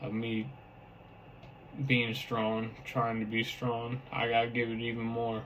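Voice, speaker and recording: Over audible room echo, a man of medium pitch talks at a fairly slow pace with monotone, flat intonation. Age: 20s. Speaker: vlogger with brain injury. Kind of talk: personal testimony to camera. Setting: talking to a camera. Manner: halting.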